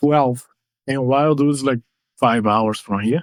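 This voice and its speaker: A man with a Portuguese accent at a medium pitch, with ordinary pitch variation and a fairly slow pace, in a dry, close sound with no echo. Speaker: mixed martial arts fighter. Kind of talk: interview testimony.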